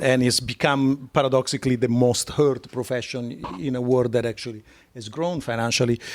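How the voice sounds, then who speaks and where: A man speaks with an Italian accent. His pace is fairly quick and his intonation fairly even. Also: medium pitch for a man, very clean recording, silent background. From Italy. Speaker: art curator. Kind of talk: live interview conversation. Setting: live on stage with audience. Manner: hesitant with many fillers.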